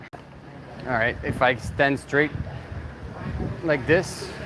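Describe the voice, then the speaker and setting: Over noticeable background noise, a man with a Canadian accent speaks at a very slow pace with fairly even intonation. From Quebec. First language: French. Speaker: YouTuber. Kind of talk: livestream chat. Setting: livestream, outdoors at night on bike.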